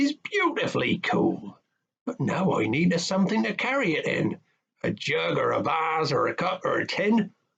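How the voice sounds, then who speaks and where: A put-on character voice delivers the lines at a moderate speed. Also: man, high pitch for a man. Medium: read story.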